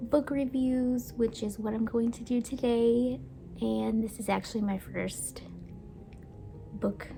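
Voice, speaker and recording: A woman speaks very slowly at a fairly high pitch, with ordinary variation in her pitch. Long, frequent pauses break up her speech over noticeable background noise. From United States (moved from Brazil at age three). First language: Portuguese. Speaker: book and baking YouTuber. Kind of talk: casual vlog talk.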